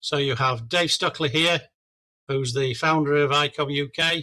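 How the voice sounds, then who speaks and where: In an English accent, a man speaks in a fairly high pitch with a bright, sharp tone and monotone, flat intonation. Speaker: amateur radio product specialist. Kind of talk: club presentation. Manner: halting.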